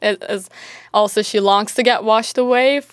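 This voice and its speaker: A woman with a Turkish accent, medium pitch, and fairly even intonation. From Turkey. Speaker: university student and writer. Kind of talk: casual interview. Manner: hesitant, with many fillers.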